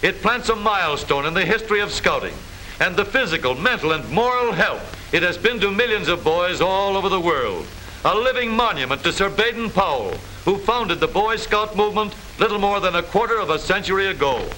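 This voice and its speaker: Over noticeable background noise, a man speaks at a fairly quick pace in a raised, projected voice that is high for a man, his loudness very even throughout. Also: ordinary pitch variation. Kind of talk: vintage newsreel narration, humorous. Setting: old film soundtrack.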